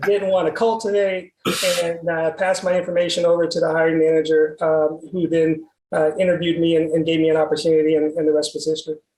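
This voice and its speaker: A man talks at a very fast pace with a Texas accent, his pitch high for a man. His intonation is monotone and flat, and his loudness stays very even. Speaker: medical sales executive. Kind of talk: interview. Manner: frequent fillers and repetitions.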